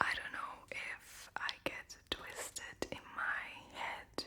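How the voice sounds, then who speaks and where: Noticeable background noise sits under the whispered speech. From Latvia. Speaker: ASMR creator. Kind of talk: whispered Q&A. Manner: whispering.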